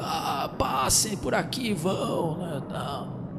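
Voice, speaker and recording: A man's voice over noticeable background noise. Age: 30s. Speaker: podcaster. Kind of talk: casual nostalgic storytelling monologue.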